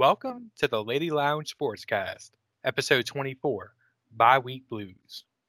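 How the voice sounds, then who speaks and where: A man speaks at a very slow pace in a fairly high voice. The sound is dry and close with no echo, and his tone is bright and sharp. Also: ordinary pitch variation. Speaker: sports podcast co-host. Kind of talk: casual chat.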